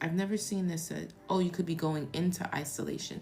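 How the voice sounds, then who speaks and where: A woman's fairly even intonation carries audible room echo. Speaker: tarot reader. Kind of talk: live stream tarot reading. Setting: live stream. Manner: soft-spoken; casual.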